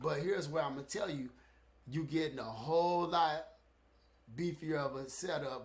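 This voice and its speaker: Somewhat breathy, a man talks with fairly even intonation at a fairly high pitch. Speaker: fitness equipment reviewer. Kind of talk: live stream product review. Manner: halting, stuttering.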